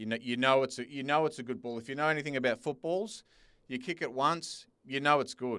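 A very fast-talking man with an Australian accent. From Sydney, Australia. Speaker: football business founder. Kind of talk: casual chat.

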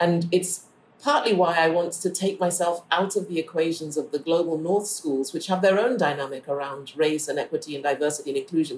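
With noticeable background noise, a woman talks at a fairly quick pace in a fairly low pitch, her pitch varying in an ordinary way. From Ghana. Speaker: architect, academic and novelist. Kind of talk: interview.

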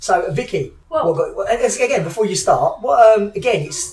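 This man's pitch swings very widely. Noticeable background noise runs under his speech. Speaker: podcast co-host. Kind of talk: casual interview chat. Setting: gym venue. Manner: joking, animated.

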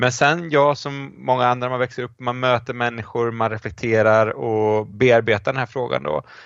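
This is a normal speaking voice at a moderate pace. There are hardly any pauses. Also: man, medium pitch for a man, ordinary pitch variation. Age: 40s. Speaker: professor of church history. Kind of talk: casual chat.

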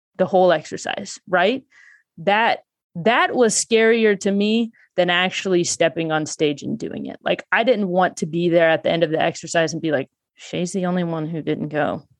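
A woman's plain, everyday voice, fairly low in pitch with ordinary pitch variation, at a moderate pace, in a dry, close sound with no echo against a quiet background. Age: 30s. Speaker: stand-up comedian. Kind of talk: casual chat.

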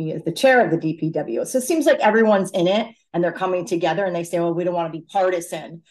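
A woman with an American accent speaks very fast in a fairly low voice, with ordinary pitch variation and hardly any pauses. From Fairfield County, Connecticut. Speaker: city council candidate. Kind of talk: interview.

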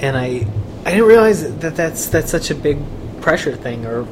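This man's lively intonation comes through audible room echo and noticeable background noise. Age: 20s. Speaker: podcast host and reporter. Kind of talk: interview.

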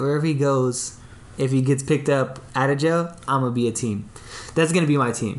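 Noticeable background noise sits under a man with an American accent talking at a fairly quick pace with ordinary pitch variation. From US West Coast, Long Beach, California. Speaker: graphic designer and podcaster. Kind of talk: casual chat.

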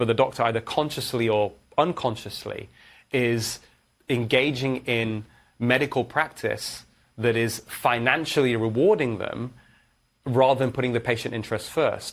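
Over a silent background in a very clean recording, a man with a Manchester accent speaks at a medium pitch and a moderate pace. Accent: northern English (Manchester). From northern England, Manchester. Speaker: cardiologist. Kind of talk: interview.

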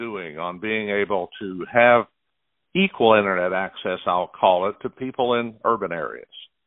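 At a moderate pace comes a plain, everyday voice. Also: man. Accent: American. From Oklahoma. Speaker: radio host. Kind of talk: interview.

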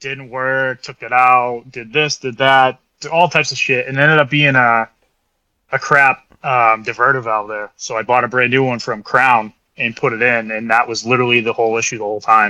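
Bright and sharp in tone, a man with an American accent speaks at a moderate pace in a medium pitch with fairly even intonation. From central Massachusetts, New England. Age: 30s. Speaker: off-road buggy builder. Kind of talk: casual chat.

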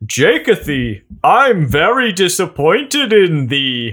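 In a put-on character voice, a high-pitched man speaks at a fairly slow pace with very wide pitch swings, on a very clean recording with a silent background. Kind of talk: archaic, formal, using 'thee'. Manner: disappointed, scolding.

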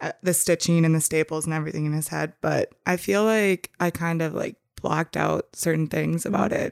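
A woman with an unremarkable speaking voice and an American accent speaks at a fairly low pitch, captured in a very clean recording with a silent background and a dry, close sound with no echo. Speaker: podcast guest, younger sister. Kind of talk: casual chat.

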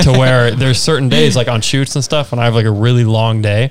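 Over noticeable background noise, a man with a medium pitch talks very fast with fairly even intonation. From Vermont. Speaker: podcast host. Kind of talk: casual interview.

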